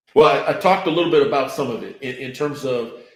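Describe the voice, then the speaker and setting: A man speaks fairly quickly with an American accent. Audible room echo is present. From Florida. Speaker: business leader. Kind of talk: interview. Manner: halting.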